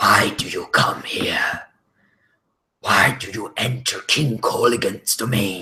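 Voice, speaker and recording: Putting on a raspy character voice at a medium pitch, a man talks at a fairly slow pace. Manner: eerie, menacing.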